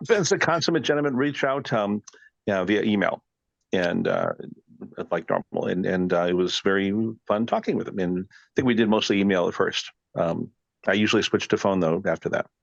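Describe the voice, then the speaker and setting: A man with an American accent talks fairly quickly at a fairly low pitch, leaving long, frequent pauses. The sound is dry and close, with no echo. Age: 60s. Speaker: classic car collector and researcher. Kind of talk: podcast interview. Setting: recording studio. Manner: rambling, hesitant with fillers.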